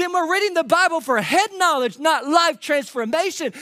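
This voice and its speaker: With a Kentucky accent, a man projects a raised voice with a bright, sharp tone at an extremely high pitch and ordinary pitch variation. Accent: Kentucky Southern US. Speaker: pastor. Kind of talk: sermon. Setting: church.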